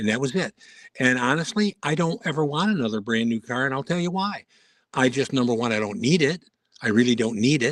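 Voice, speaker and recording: In a normal speaking voice, someone talks at a fairly quick pace with lively intonation, in a dry, close sound with no echo. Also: man, medium pitch for a man. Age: 60s. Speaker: guest on a live stream. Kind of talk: casual chat.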